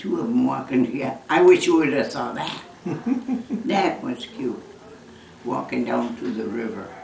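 A woman at a moderate pace with long, frequent pauses, audible room echo and light background noise. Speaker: mother recalling her son's childhood. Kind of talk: casual family conversation, reminiscing. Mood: fond, amused nostalgia. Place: home room.

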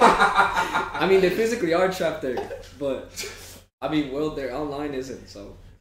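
A man with a high pitch speaks at a fairly slow pace, using lively intonation and big swings in loudness. Audible room echo and noticeable background noise surround him. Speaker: streamer and channel host. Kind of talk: casual chat. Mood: jokey, amused. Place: home room.

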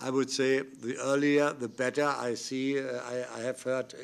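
The man's intonation is monotone and flat. His pace is fairly slow. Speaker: panel chair or politician. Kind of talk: formal speech. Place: meeting room. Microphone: podium.

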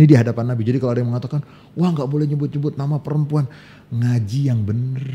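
Talking at a very fast pace, a man's dark, mellow voice sounds somewhat breathy, with ordinary pitch variation. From Indonesia. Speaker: Islamic scholar; guest. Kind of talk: casual chat. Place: studio. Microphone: studio mic.

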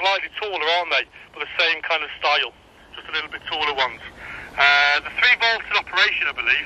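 Over light background noise, a man speaks very fast with lively intonation in a dry recording with no echo. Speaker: radio hobbyist vlogger. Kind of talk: radio chat to a friend, product commentary. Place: open country. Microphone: phone near.

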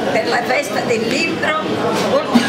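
Against crowd noise in the background, a woman speaks at a fairly slow pace. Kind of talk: reading a prepared speech. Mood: warm, festive. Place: cafe. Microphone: camera far.

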